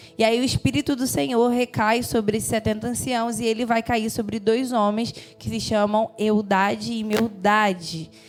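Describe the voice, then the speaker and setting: With music in the background, a woman of fairly high pitch speaks at a moderate pace with fairly even intonation and hardly any pauses. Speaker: preacher. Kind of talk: sermon.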